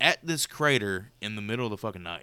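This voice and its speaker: Animated and lively in intonation, a man speaks in a bright, sharp tone on a very clean recording with a silent background. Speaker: podcast host. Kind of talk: casual banter podcast. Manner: joking, profane, animated.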